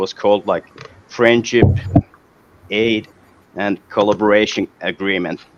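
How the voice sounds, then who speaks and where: A man speaks fairly slowly in a fairly low, monotone, flat voice with long, frequent pauses, the sound dry and close with no echo yet with noticeable background noise. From Finland. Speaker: electrical engineer. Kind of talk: video call discussion.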